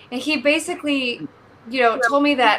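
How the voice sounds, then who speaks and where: A woman's raised, projected voice, high in pitch with a bright, sharp tone. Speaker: stage actress. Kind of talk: casual chat. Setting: video call.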